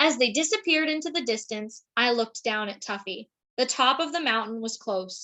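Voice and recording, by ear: With a quiet background, the speaker reads aloud in a natural voice, intonation lively.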